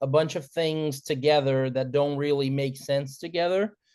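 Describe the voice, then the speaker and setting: A man speaks with a Portuguese accent. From Brazil. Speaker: musician. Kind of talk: interview.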